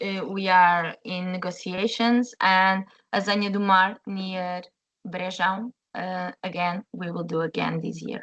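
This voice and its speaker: In a Portuguese accent, the speaker talks fairly slowly with fairly even intonation. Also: woman, medium pitch for a woman. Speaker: chef. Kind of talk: webinar presentation. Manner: halting, many fillers.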